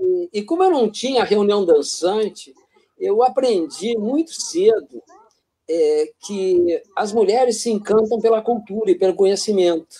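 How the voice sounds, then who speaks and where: A man with a high pitch talks at a fairly slow pace with lively intonation. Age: 70s. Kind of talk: casual interview. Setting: live broadcast. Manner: halting.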